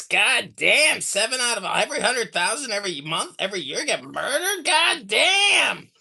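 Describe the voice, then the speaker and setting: A put-on character voice, fairly high in pitch with very wide pitch swings, at a moderate pace with hardly any pauses. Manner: mocking, exaggerated.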